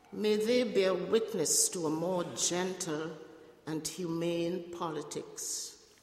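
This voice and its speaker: A woman speaks at a very slow pace in a medium pitch with ordinary pitch variation over noticeable background noise. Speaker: prayer leader. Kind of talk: prayers of intercession. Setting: church.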